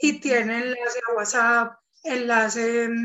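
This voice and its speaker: A woman talks at a very slow pace in a high pitch. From Colombia, Eje Cafetero. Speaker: artisan entrepreneur. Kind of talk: casual interview.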